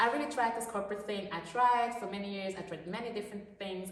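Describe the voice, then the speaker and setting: A woman with a non-native accent is heard amid noticeable background noise and audible room echo. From Switzerland. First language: not English. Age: 30s. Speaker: food truck owner. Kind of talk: casual chat.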